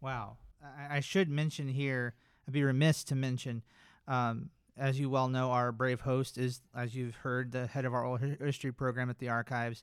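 A man with an American accent, medium pitch, monotone, flat intonation and a moderate pace, on a very clean recording with a silent background. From North Carolina. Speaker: government records archivist. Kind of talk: scripted narration; casual chat.

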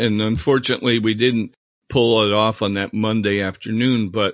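This man has a plain, everyday voice, fairly low in pitch, at a moderate pace. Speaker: podcast host and former team photographer. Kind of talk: interview.

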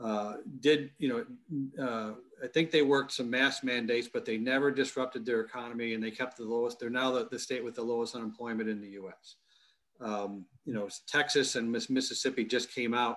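A man with a Midwestern American accent talks at a fairly quick pace, his medium-pitched voice keeping a fairly even intonation. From US Midwest, Michigan. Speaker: military intelligence expert and university executive. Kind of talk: interview. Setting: video call from home basement. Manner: halting, many repetitions.

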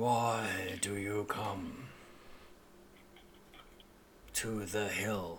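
A man's put-on character voice, fairly low in pitch, with rumbling and clear background noise.

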